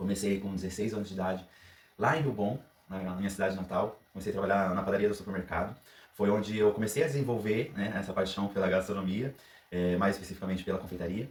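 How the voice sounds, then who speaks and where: Very fast speech from a man, fairly low in pitch, with fairly even intonation. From Brazil, Paraná. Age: 30s. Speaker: pastry chef. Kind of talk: cooking audition video with tutorial.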